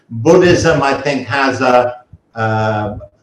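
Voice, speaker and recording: This British-accented voice carries ordinary pitch variation. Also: man. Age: 70s. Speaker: retiree who moved abroad. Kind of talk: interview storytelling.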